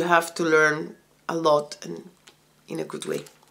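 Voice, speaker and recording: Woman in a Spanish accent at a moderate pace, with monotone, flat intonation. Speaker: vlogger and homeschooling mother. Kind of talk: casual vlog monologue. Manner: halting.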